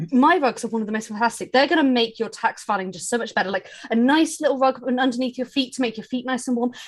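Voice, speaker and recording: A woman speaks with a British accent at a fairly quick pace, her pitch fairly high. Music plays in the background. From UK. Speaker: game player, digital analyst. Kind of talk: tabletop role-play livestream.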